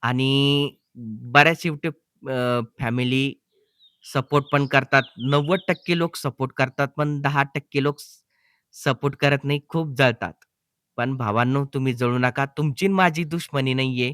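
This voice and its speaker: A man's unremarkable speaking voice, fairly high-pitched, with fairly even intonation and a dry, close sound with no echo. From Maharashtra, Jalna district. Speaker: YouTuber. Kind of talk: vlog talking to viewers.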